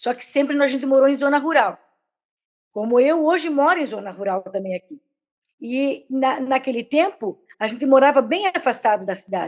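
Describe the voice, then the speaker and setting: This woman's voice is high-pitched. Her intonation is lively. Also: moderate pace. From southern Brazil, Rio Grande do Sul border (Santana do Livramento). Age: 60s. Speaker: religious volunteer. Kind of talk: casual chat. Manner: halting, many fillers.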